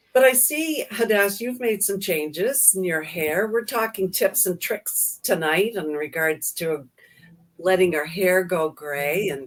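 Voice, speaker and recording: A woman with an unremarkable speaking voice talks at a fairly slow pace. Her medium pitch carries lively intonation. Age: 60s. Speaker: daycare owner, co-host. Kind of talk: casual chat. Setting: live stream.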